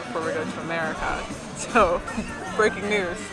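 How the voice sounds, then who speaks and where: Clear music plays in the background as a woman speaks at a moderate pace, her voice dry with no echo. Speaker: new mother. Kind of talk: casual conversation on camera. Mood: playful, laughing. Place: bar. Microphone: phone near.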